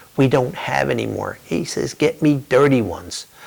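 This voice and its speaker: With noticeable background noise, a man talks in an American accent. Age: 60s. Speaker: war veteran. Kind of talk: testimony.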